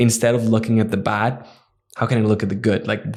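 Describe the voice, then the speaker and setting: The intonation is monotone and flat. The man's pitch sits fairly low. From Netherlands, then China. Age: 20s. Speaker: entrepreneur. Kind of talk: interview.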